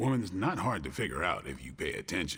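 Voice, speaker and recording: A man's put-on character voice at a fairly quick pace. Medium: video game. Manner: terse, dry.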